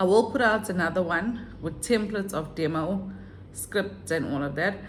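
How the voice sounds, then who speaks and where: A woman's somewhat breathy, medium-pitched voice amid audible room echo. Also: ordinary pitch variation, moderate pace. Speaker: online English teacher and vlogger. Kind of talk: casual vlog tutorial.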